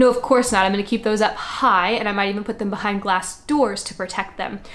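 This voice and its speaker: A woman's fairly high voice with ordinary pitch variation, set against noticeable background noise. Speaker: homeschooling mother and education channel host. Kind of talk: casual tutorial talk to camera. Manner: fast talker; animated.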